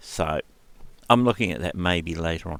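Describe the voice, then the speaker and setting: Lively intonation and a moderate pace mark this speaker with a New Zealand accent. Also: man. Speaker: retro computer YouTuber. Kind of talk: casual tutorial.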